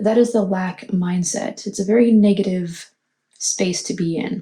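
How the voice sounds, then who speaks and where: The voice is quiet and somewhat breathy, with a dark, mellow tone. The pace is very slow. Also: woman. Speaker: tarot reader. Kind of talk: tarot reading monologue. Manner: quiet, hushed.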